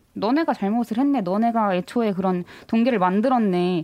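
Lively in intonation, a woman's fairly high voice carries a dark, mellow tone. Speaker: student investigative journalist. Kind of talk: interview. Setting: studio.

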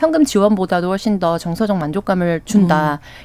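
This woman has an unremarkable speaking voice at a medium pitch. She talks at a fairly quick pace with lively intonation. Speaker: news panelist. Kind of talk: radio news discussion. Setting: radio studio.

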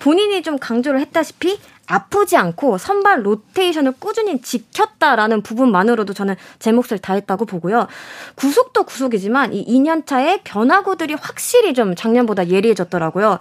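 A woman speaks at a high pitch with very wide pitch swings and a moderate pace. The recording is very clean, with a silent background and a dry, close sound with no echo. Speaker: sports journalist. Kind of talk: panel discussion on baseball.

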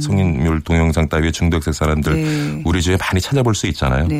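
Noticeable background noise sits under speech that moves at a fairly quick pace with ordinary pitch variation. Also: man. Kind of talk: data analysis explanation.

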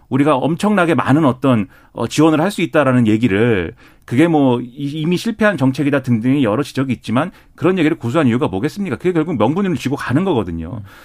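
A fairly high-pitched man at a very fast pace, with very wide pitch swings, in a very clean recording with a silent background. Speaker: political commentator. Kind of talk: radio panel discussion. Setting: studio.

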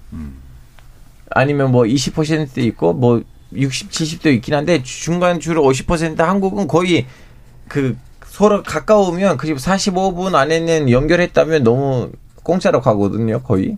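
Lively intonation runs through this man's speech. His pace is very slow. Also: fairly high pitch for a man. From Turkey. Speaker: journalist. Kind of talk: radio panel discussion. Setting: radio studio. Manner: halting, searches for words.

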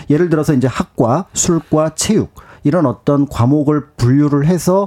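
Dry and close with no echo, a man's fairly high voice has a dark, mellow tone and moves at a moderate pace. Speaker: history researcher. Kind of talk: radio interview, history explainer. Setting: radio studio.

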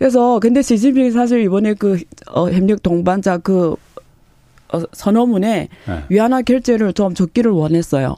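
At a moderate pace, a woman speaks in a dark, mellow tone with very even loudness and ordinary pitch variation. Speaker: professor. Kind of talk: interview. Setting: studio.

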